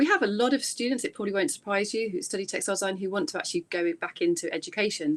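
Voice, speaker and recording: Against a quiet background, a woman talks at a very fast pace in an English accent. Her intonation is lively. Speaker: university lecturer. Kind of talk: presentation. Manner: hesitant, many fillers.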